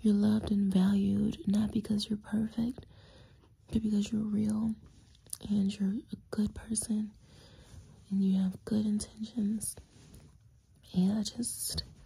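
With a dark, mellow tone, a woman speaks somewhat breathily in a monotone, flat intonation, leaving long, frequent pauses. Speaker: content creator. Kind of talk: intimate affirming monologue to camera. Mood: tender, soft, affectionate. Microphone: phone near.

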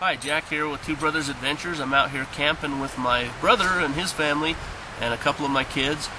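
A man amid noticeable background noise. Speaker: outdoor cooking vlogger. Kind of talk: casual tutorial.

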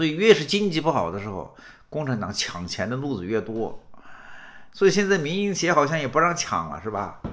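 A man talking at a fairly quick pace, with very wide pitch swings and vocal fry. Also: fairly high pitch for a man. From rural China. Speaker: political commentator. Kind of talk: political commentary monologue. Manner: animated; repetitive stammering. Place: home room.

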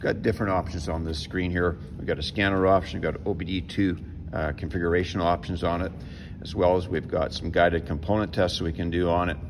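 A man's very deep, low voice at a fairly quick pace, with noticeable background noise. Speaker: mechanic instructor. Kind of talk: tutorial. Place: garage. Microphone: phone near.

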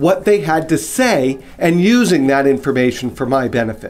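Faint music plays in the background. The speech moves at a moderate pace. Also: man. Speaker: business coach. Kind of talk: promotional direct-to-camera talk. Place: office.

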